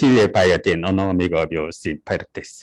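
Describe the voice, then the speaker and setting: This man talks at a moderate pace with a Korean accent. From South Korea. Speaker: university lecturer. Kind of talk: lecture. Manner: halting, many fillers.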